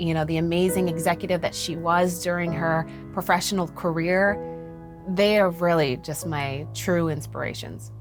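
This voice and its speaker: A woman with an American accent, hardly any pauses, music in the background. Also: moderate pace. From Texas. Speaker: radio news anchor. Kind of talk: interview answer.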